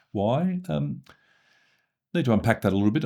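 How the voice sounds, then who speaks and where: Speaking at a very fast pace, a man with an Australian accent has a dark, mellow tone. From Australia, Sydney. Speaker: former senior public servant. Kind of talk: interview. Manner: hesitant, many fillers.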